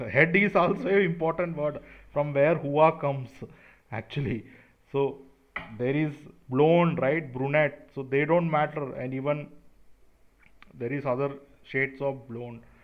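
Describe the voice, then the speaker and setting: With an Indian accent, a man speaks at a fairly slow pace. His voice is fairly high with ordinary pitch variation. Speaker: conspiracy video creator. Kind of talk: monologue to camera. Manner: animated.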